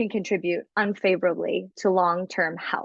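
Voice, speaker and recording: A woman speaks in an animated tone at a fairly slow pace. The background is quiet, and the sound is dry and close with no echo. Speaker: wellness product presenter. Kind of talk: product presentation.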